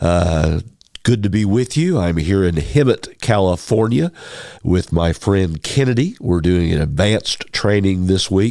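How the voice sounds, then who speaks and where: A man with an American accent speaks fairly slowly in a very deep, low voice, his tone dark and mellow and his pitch varying in an ordinary way. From Kentucky, US. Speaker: podcast host. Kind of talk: casual interview. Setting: training workshop.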